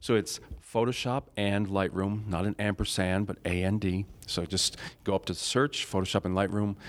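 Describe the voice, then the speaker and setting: A plain, everyday voice from a man with an American accent, fairly low in pitch, at a moderate pace with fairly even intonation, in a very clean recording with a silent background. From US Northeast (Rochester, New York). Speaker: Photoshop tutor and online group founder. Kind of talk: casual interview. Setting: recorded at a conference.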